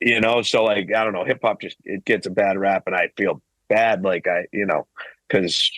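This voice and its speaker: A man with a Boston accent at a moderate pace, in a dry, close sound with no echo. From Massachusetts, Boston area (Weymouth). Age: 30s. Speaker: hip hop artist. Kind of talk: casual chat.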